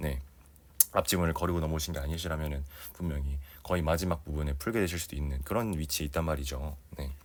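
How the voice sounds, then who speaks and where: A man speaks at a very fast pace in a very deep, low pitch. His intonation stays fairly even amid audible room echo. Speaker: Korean language exam tutor. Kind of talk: lecture.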